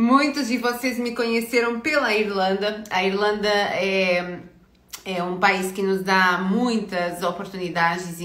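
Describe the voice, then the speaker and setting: In a medium pitch with fairly even intonation, a woman speaks amid audible room echo. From Portugal. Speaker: career consultant. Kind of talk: live stream talk. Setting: online live stream. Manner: hesitant, many filler words.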